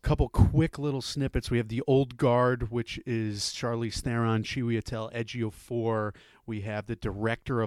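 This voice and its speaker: This man speaks with an American accent at medium pitch and a moderate pace, his intonation monotone and flat, in a very clean, dry, close recording with a silent background and no echo. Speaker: movie podcast co-host. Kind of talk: casual chat about movies.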